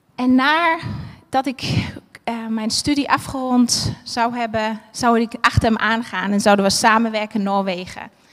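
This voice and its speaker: A woman with an unremarkable speaking voice talks at a fairly slow pace, fairly high in pitch, with ordinary pitch variation and hardly any pauses. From Germany, Berlin. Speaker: preacher. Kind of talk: sermon. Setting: church with livestream.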